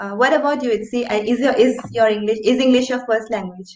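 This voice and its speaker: In an Indian accent, a woman talks at a fairly high pitch with fairly even intonation. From India, Assam. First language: Assamese. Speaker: writer, channel host. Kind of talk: casual interview chat.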